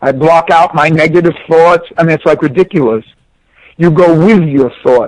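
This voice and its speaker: Recorded with a dry, close sound and no echo, a man with a New York accent and a high pitch speaks at a moderate pace, with ordinary pitch variation and very even loudness. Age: 60s. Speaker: former pro tennis player and coach. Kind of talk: interview. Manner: animated.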